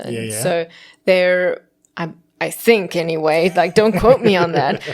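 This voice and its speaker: A woman with a South African accent speaks at a moderate pace in a fairly low pitch, with vocal fry. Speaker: voice actor. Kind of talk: podcast interview answer. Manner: casual, chatty, humorous.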